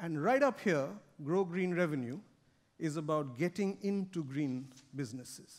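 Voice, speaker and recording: In a fairly high pitch, a man talks at a very slow pace with long, frequent pauses. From India. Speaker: corporate sustainability director; conference speaker. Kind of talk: keynote speech. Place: stage.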